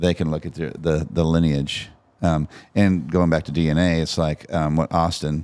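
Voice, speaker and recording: A man's very deep, low voice in a flat monotone. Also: moderate pace, very clean recording, silent background. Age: 50s. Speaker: cattle rancher. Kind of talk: casual podcast chat.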